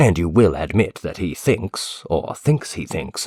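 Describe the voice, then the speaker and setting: A man puts on a growling character voice at a very deep, low pitch. He delivers it at a fairly slow pace. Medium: read story. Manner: earnest, deliberate, lecturing.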